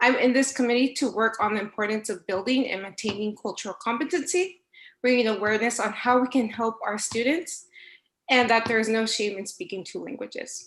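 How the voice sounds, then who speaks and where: A woman with a Spanish accent talks at a fairly quick pace, her pitch fairly high with ordinary variation. The background is quiet. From US, local school district. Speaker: school staff member. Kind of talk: prepared statement at board meeting. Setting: virtual school board meeting.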